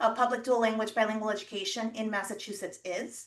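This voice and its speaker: This woman has a fairly high pitch. She speaks with a Spanish accent. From Puerto Rico (Mayagüez), Army brat raised partly in Europe and southern US. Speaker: education official and university lecturer. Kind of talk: presentation.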